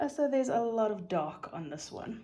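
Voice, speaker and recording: A woman's relaxed, dark, mellow voice in a South African accent, fairly slow, with very wide pitch swings. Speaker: craft YouTuber. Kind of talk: casual craft tutorial and unboxing. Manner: relaxed, chatty with fillers.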